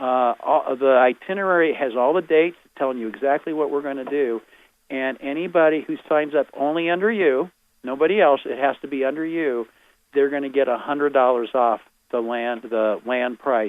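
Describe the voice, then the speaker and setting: A man's fairly high-pitched voice shows ordinary pitch variation. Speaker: tour organizer. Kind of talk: promotional pitch on phone-in radio. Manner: fast.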